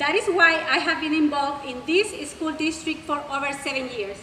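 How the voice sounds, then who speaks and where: A woman with a high pitch uses a raised, projected voice at a moderate pace, with audible room echo and noticeable background noise. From Mexico. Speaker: school board candidate. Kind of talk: prepared candidate speech. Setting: public forum with audience.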